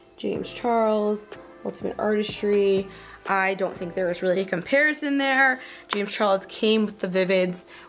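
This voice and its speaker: With music in the background, a woman speaks at a medium pitch with ordinary pitch variation. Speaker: beauty vlogger. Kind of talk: makeup review and tutorial. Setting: home studio with green screen. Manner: fast; casual, filler-heavy.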